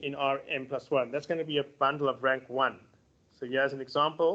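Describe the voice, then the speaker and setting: The pace is fairly quick as a man speaks. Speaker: mathematics lecturer. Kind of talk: lecture. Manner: fast.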